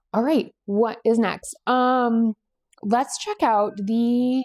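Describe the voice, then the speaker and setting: A New England accent on a very clean recording with a silent background and a dry, close sound with no echo. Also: woman. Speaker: knitting podcast host. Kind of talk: casual chat. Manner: casual with frequent fillers.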